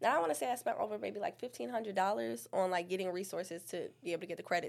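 An American accent comes through at a very fast pace. The recording is very clean, the background silent. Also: woman. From New York, Staten Island. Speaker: digital marketing business owner. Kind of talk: casual interview.

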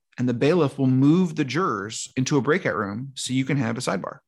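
A man's unremarkable speaking voice at medium pitch, with ordinary pitch variation and a quiet background. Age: 30s. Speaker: law professor and podcast host. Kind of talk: casual chat.

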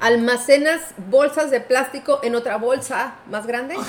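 A woman speaks at a high pitch with ordinary pitch variation. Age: 40s. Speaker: podcast co-host. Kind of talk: casual chat.

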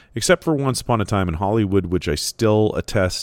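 A man with a Canadian accent speaks at a moderate pace. His pitch variation is ordinary, and the recording is very clean with a silent background. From Canada. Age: 40s. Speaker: podcaster on literature and film. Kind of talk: solo monologue review. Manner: casual, conversational.

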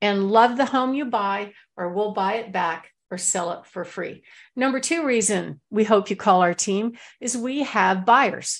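A woman talks in an unremarkable speaking voice at a fairly slow pace. Her medium pitch shows ordinary pitch variation. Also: quiet background. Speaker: real estate broker and radio host. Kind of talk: radio sales pitch, promoting her guarantees and services. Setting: radio studio.

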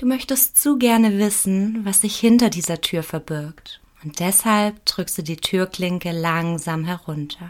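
A woman speaks at a medium pitch, in an ordinary speaking voice, with ordinary pitch variation. Her fairly slow delivery has hardly any pauses, on a very clean recording with a silent background. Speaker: meditation guide. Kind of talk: guided meditation. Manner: slow, calm, soothing; soft-spoken, gentle, with long pauses.

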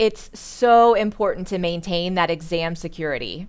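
A woman with a normal speaking voice and an American accent, lively intonation at a moderate pace, in a very clean recording with a silent background. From US Midwest, Indiana. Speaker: school counselor and AP coordinator. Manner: polished, professional.

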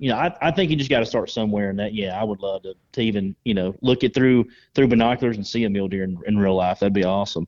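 In a Southern US accent, a man talks at a very fast pace with hardly any pauses. His pitch is fairly low, with ordinary variation. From North Georgia, US South. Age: 30s. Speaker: waterfowl hunter. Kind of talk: casual chat.

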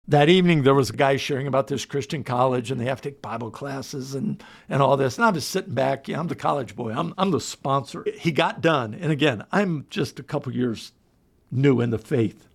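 On a very clean recording with a silent background, a man with an American accent and a plain, everyday voice talks at a fairly quick pace, his fairly high pitch carried by lively intonation. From Delaware, US. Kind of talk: testimony.

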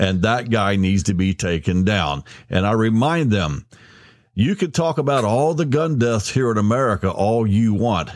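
A man's fairly low, an ordinary speaking voice with lively intonation and very even loudness, at a moderate pace, in a very clean recording with a silent background. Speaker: podcast host. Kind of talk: podcast intro and interview. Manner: jokey, upbeat.

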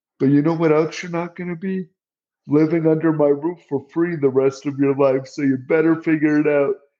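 The man's voice sits at a fairly high pitch with a dark, mellow tone. His intonation stays fairly even. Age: 50s. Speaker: accessibility director at tech company. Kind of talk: interview.

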